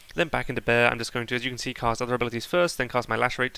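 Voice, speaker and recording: The man's tone is bright and sharp, and his intonation stays fairly even. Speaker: gaming guide creator. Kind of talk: live gameplay commentary narration. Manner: fast; casual with fillers.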